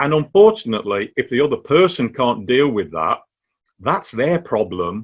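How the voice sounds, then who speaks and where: Over a quiet background, a man talks fairly quickly in a fairly high pitch, with vocal fry and very wide pitch swings. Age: 60s. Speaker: cancer patient and cancer champion. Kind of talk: interview.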